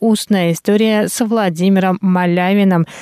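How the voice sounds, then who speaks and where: With a dark, mellow tone at medium pitch, a woman speaks fairly slowly in a dry, close recording with no echo, very clean and with a silent background. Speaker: radio news presenter. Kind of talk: news reading. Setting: studio. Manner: formal.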